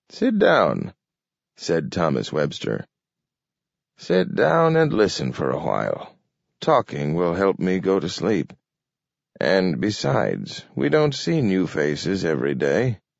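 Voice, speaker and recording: In a put-on character voice, a man speaks raspy and gruff at a very deep, low pitch, at a fairly slow pace with long, frequent pauses. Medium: read story. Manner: gruff, clipped, drops words.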